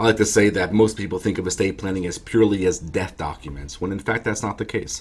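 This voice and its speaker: A man with a very deep, low pitch talks at a very fast pace, somewhat breathy and with ordinary pitch variation. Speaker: estate planning attorney. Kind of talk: explanatory talk to camera. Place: office. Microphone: webcam.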